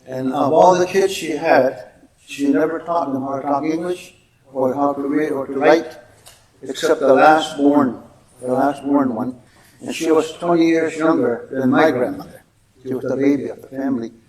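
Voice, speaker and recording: A man with a Canadian accent and a fairly high pitch, fairly even intonation, moderate pace, and audible room echo. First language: Mohawk. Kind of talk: public talk. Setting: museum stage with audience.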